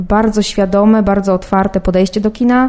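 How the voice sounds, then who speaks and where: Monotone, flat intonation in a dark, mellow, medium-pitched woman's voice. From Poland. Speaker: film student, youth jury member. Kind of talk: personal statement to camera. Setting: film festival.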